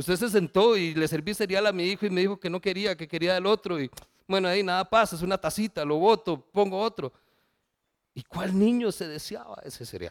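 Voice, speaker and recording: There is no echo, and the sound is dry and close. The background is silent on this very clean recording. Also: man, high pitch for a man, ordinary pitch variation, fairly quick pace. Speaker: pastor. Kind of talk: sermon.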